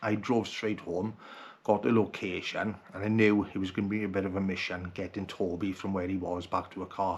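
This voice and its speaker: Speaking with a Welsh accent, a man uses a fairly low pitch at a fairly quick pace. His intonation is monotone and flat. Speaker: outdoor vlogger. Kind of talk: personal video message. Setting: at home at night.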